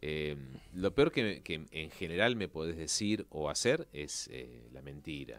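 A man with a very deep, low pitch and vocal fry speaks at a fairly slow pace. His intonation is lively, his loudness swings widely, and the sound is dry with no echo. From Argentina. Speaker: actor and presenter; actor, presenter. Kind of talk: interview. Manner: halting. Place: studio. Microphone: studio mic.

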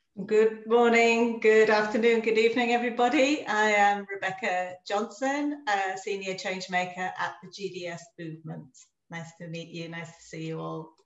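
A woman speaks at a moderate pace with ordinary pitch variation and hardly any pauses, her loudness swinging widely. The background is quiet, but there is audible room echo. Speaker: webinar host. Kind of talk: webinar introduction and housekeeping. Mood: warm, cheerful. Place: home room.

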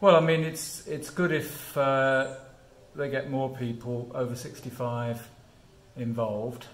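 Fairly slow, with fairly even intonation, a man speaks. Light background noise and audible room echo are present. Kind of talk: interview answer. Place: gym. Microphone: phone near.

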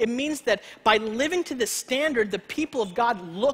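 A man's extremely high-pitched voice, fairly bright in tone with a slightly husky edge, lively intonation and a moderate pace

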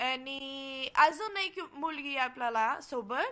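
In a Portuguese accent, a woman uses a raised, projected voice with a bright, sharp tone and high pitch on a very clean recording with a silent background. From Brazil. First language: Portuguese (speaking Marathi). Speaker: cultural exchange student. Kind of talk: casual interview. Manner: halting.

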